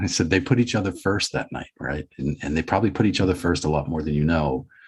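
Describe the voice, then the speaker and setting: Speaking at a fairly quick pace, a man with an American accent has a very deep, low pitch and a somewhat breathy voice. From Boston, USA. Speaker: podcast guest. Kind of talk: interview answer. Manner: reflective, conversational.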